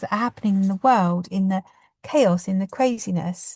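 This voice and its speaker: In a British accent, a woman sounds somewhat breathy, recorded dry and close with no echo against a quiet background. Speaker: podcast host and community founder. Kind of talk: casual reflective monologue. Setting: in a car. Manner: fast; passionate, animated.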